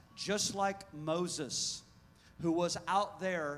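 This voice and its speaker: A man speaks very slowly in a high pitch. Music plays in the background, and room echo is audible. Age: 40s. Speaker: pastor. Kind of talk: sermon. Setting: church. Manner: animated.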